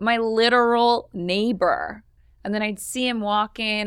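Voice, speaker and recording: A woman with a plain, everyday voice and fairly high pitch talks at a fairly slow pace in a very clean recording with a silent background. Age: 30s. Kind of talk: casual chat.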